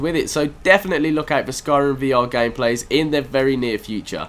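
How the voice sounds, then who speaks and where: There is noticeable noise behind this man as he speaks fairly quickly. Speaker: gaming YouTuber. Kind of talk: casual let's play commentary.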